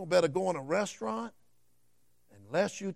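Speaking with a Southern US accent, a man sounds animated, his intonation lively. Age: 50s. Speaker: preacher. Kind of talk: sermon.

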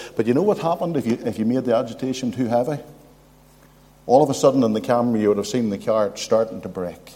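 A man with a Northern Irish accent speaks very fast at a medium pitch, with ordinary pitch variation. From Northern Ireland, County Armagh. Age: old. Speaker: visiting preacher. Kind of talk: sermon. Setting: church.

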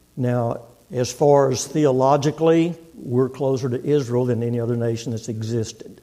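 With an American accent, a man speaks with hardly any pauses while audible room echo fills the recording. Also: medium pitch for a man, fairly even intonation, moderate pace. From Texas. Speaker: visiting preacher. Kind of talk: sermon. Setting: church.

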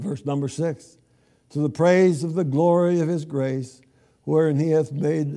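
This man's voice sits at a fairly high pitch with ordinary pitch variation. His tone is dark and mellow. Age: 80s+. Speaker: guest preacher. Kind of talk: sermon. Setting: church.

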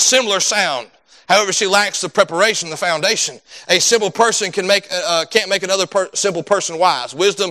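Someone is reading aloud in a natural voice.

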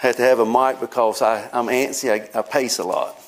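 A man with a medium pitch speaks in a monotone, flat intonation at a moderate pace, with noticeable background noise behind him. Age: 50s. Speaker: preacher. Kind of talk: sermon. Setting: church.

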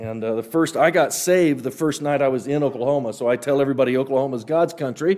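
A man with an American accent, animated, at a fairly high pitch with ordinary pitch variation, at a very fast pace with hardly any pauses. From Western Kansas (Healy). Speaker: creation science speaker / evangelist. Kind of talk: church talk / apologetics lecture.

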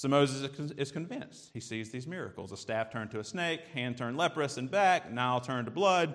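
A man with a Southern US accent talks at a fairly quick pace and medium pitch, his intonation lively. The recording is very clean, with a silent background. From US South. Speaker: preacher. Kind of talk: sermon.

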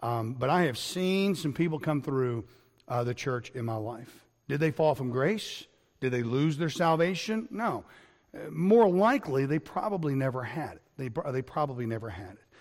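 A man speaks at a moderate pace in a plain, everyday voice, fairly high in pitch. His intonation is lively and his loudness swings a lot. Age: 50s. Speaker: pastor. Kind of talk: sermon. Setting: recorded online lesson.

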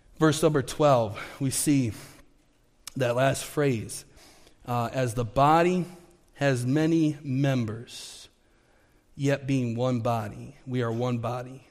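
Speaking at a very slow pace, a man leaves long, frequent pauses, his medium pitch following a fairly even intonation. Audible room echo surrounds his voice. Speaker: pastor. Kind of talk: sermon. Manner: halting, many fillers.

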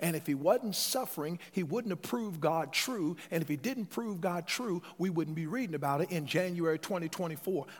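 Over music in the background, a man speaks at a high pitch and a moderate pace. His pitch variation is ordinary, and he hardly pauses. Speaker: preacher. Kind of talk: sermon. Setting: church. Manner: animated, call-and-response preaching, urging the congregation to say amen; emphatic and conversational, with repeated words.

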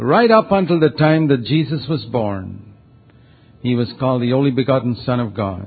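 This is a man with an unremarkable speaking voice at a medium pitch. He talks at a moderate pace with lively intonation. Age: 60s. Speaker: preacher. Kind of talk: sermon.

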